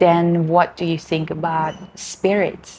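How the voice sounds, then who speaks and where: A woman with a non-native accent speaks at a fairly slow pace, her fairly low voice flat and monotone. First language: not English. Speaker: lifestyle vlogger. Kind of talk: casual monologue. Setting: at home, cat nearby. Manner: halting.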